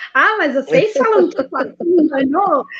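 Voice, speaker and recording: A woman speaks with a São Paulo accent. Her pace is moderate and her intonation lively. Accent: São Paulo Brazilian Portuguese. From São Paulo ABC region, Brazil. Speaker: singer and music teacher. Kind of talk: online panel debate.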